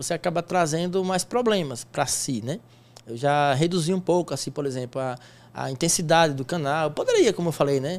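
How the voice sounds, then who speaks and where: Ordinary pitch variation runs through a man's fairly quick delivery. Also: fairly high pitch for a man. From Sergipe, Brazilian Northeast. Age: 40s. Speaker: sports bettor and teacher; teacher. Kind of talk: interview. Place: studio. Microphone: studio mic.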